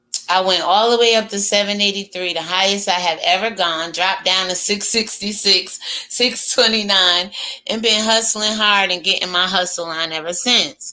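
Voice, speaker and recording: A woman at medium pitch with fairly even intonation, noticeable background noise behind her. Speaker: YouTube commentary host. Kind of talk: casual commentary monologue. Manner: slow.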